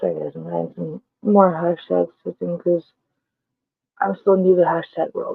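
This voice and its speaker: Quiet speech at a moderate pace, with long, frequent pauses and big swings in loudness. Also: woman. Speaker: vlogger. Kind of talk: casual vlog monologue.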